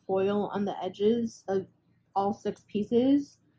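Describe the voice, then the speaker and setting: At a medium pitch, a woman speaks in a dark, mellow, somewhat breathy tone with fairly even intonation. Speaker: resin artist and small craft seller. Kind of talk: casual craft video reveal. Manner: hesitant, many fillers.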